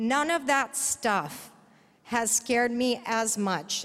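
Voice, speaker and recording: An American accent with ordinary pitch variation. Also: woman. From Texas, Dallas. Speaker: progressive activist. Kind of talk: personal testimony speech. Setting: conference stage with audience.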